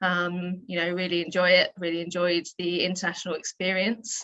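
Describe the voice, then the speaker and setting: A woman with a southern English accent is speaking. Her voice sits at a medium pitch, and she keeps a moderate pace. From England, near London. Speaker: PE teacher and athletics director. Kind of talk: interview.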